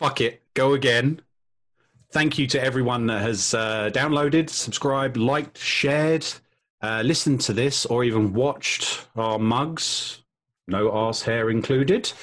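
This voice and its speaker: Speaking with a British accent, a man talks at a fairly slow pace in a medium pitch, with ordinary pitch variation and very even loudness. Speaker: podcast host. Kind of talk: casual chat.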